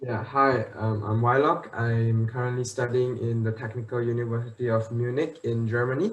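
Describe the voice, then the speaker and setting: A somewhat breathy man at a medium pitch and moderate pace, with fairly even intonation and hardly any pauses. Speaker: university student, school alumnus. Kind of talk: online panel Q&A.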